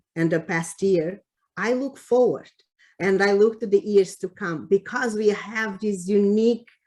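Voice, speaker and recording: At a fairly slow pace, a woman speaks with a Cape Verdean accent. Her pitch is medium with ordinary variation. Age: 60s. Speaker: public health official. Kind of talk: award acceptance speech. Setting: virtual meeting. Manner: halting, many fillers.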